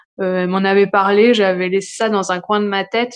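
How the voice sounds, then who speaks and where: A medium-pitched female voice, flat and monotone in intonation. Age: 30s. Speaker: new mother telling her birth story. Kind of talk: personal testimony. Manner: hesitant, many fillers.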